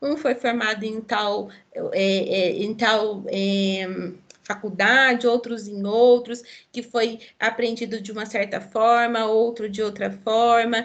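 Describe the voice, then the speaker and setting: A woman at a very slow pace, fairly high in pitch, with monotone, flat intonation and audible room echo. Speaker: nursing lecturer. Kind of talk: online lecture. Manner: halting, many fillers.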